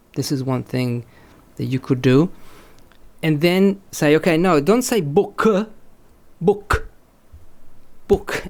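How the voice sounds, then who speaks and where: Delivered at a very slow pace with ordinary pitch variation, the speech carries a slight Italian accent on a very clean recording with a silent background. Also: man. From Italy. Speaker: language teacher and author. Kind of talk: podcast interview. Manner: halting, many repetitions.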